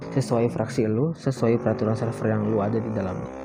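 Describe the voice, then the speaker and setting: A soft-spoken man talks at a fairly quick pace with fairly even intonation. Noticeable background noise sits behind him. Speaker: gaming vlogger. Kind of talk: casual vlog monologue. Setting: recording at dawn while riding. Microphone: voice recorded quiet.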